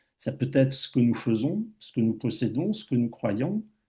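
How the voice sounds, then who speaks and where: A man speaks very slowly in a medium pitch. His tone is dark and mellow, somewhat breathy. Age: 60s. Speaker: speaker sharing a personal life experience. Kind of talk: public talk with personal testimony. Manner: halting, with many hesitations and repetitions.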